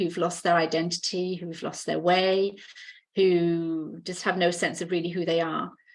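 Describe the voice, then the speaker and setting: With a British accent, a woman speaks at a moderate pace in a fairly low, monotone, flat voice over a quiet background. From UK. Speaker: healer and mentor. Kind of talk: podcast interview.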